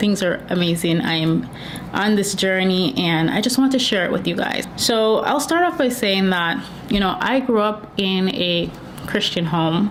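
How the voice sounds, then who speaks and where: Over noticeable background noise and audible room echo, a woman speaks at a fairly slow pace with medium pitch, ordinary pitch variation and very even loudness. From Jamaica. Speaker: YouTuber sharing faith testimony. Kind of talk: testimony. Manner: casual, conversational.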